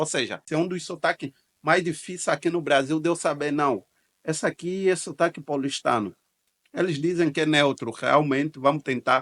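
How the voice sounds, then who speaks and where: A man with an ordinary speaking voice talks at a moderate pace and a fairly high pitch. His pitch variation is ordinary, and the sound is dry and close with no echo. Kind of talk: reaction video commentary.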